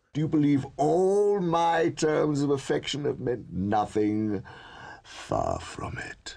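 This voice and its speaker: Using a put-on character voice, a man speaks at a fairly slow pace and a fairly high pitch for a man. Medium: audio drama. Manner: jaded, cynical, world-weary with flashes of anger.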